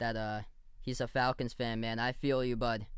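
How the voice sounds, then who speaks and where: On a very clean recording against a silent background, a man takes a fairly slow pace. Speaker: livestream basketball commentator. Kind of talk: live play-by-play and chat reactions. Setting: livestream. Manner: animated.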